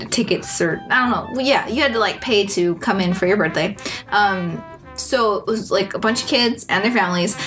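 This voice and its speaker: The voice holds a very even loudness and ordinary pitch variation while faint music plays in the background. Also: woman. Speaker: guest co-host. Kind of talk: casual vlog chat. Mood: happy, nostalgic storytelling. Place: home room. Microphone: camera far.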